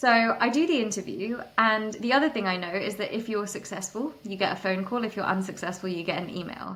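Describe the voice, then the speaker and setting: An animated woman at a medium pitch and a fairly quick pace. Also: ordinary pitch variation. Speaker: startup founder. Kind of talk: interview conversation. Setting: podcast.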